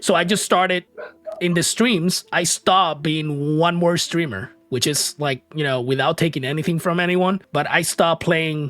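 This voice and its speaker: A man with a Puerto Rican accent speaks at a moderate pace in a fairly high voice, with ordinary pitch variation, over noticeable background noise in a dry, close sound with no echo. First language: Spanish. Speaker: podcast host and streamer. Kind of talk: casual interview chat.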